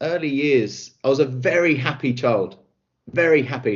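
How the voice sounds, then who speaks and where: A man speaks with a southern English accent. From south-east England (Kent). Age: 30s. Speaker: recruitment specialist and coach. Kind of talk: interview.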